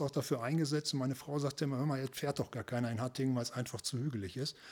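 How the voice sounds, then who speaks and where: His intonation fairly even and his pitch medium, the man talks at a very fast pace. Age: 50s. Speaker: local politician. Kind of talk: podcast interview.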